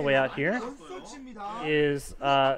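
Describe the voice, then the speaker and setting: Over noticeable background noise, a man with an American accent talks in a fairly high voice with ordinary pitch variation. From US South. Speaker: esports caster. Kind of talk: live commentary. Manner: animated.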